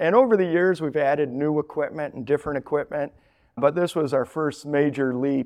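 A man with an American accent and a normal speaking voice, fairly high in pitch, with ordinary pitch variation, against a quiet background. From Colorado. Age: 40s. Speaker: packaging company owner. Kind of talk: interview.

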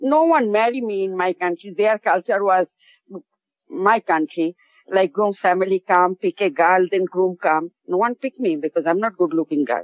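With a Bangladeshi accent, a woman of medium pitch talks at a moderate pace with lively intonation. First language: Bengali. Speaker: caller. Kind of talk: casual chat. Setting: phone call.

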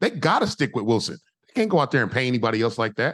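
The speaker is a man. His tone is animated. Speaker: former pro football player and analyst. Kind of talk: casual sports talk.

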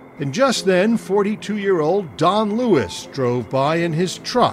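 A man's voice swings very widely in pitch while music plays in the background. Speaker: TV news correspondent. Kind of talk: true-crime narration. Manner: dry, wry, measured storyteller; conversational interviewer, probing.

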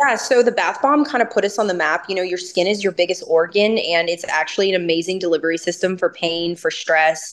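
A woman with an American accent talks at a fairly quick pace with hardly any pauses, her medium pitch moving with ordinary variation in an ordinary speaking voice. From US South. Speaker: cannabis company founder. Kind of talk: interview. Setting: remote interview from Napa.

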